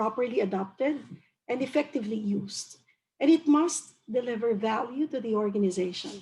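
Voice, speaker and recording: This woman's voice sits at a fairly high pitch and is somewhat breathy. She speaks at a moderate pace. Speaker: HR director. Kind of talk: webinar presentation.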